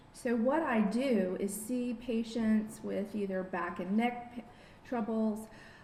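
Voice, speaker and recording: The voice shows ordinary pitch variation. Room echo is audible, and there is noticeable background noise. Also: woman. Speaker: biofeedback therapist. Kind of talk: lecture.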